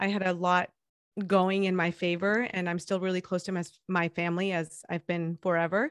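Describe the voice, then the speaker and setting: With a Spanish accent, a woman speaks at a moderate pace and medium pitch, her voice dry and close with no echo over a quiet background. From Mexico, Guadalajara. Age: 30s. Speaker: podcast host. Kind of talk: interview. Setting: remote call.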